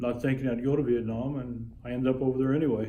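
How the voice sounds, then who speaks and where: A man with an American accent, medium pitch and monotone, flat intonation at a very fast pace, with audible room echo. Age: 60s. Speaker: retired sheriff's officer and Vietnam veteran. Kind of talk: interview. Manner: halting, frequent fillers. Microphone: phone camera recording.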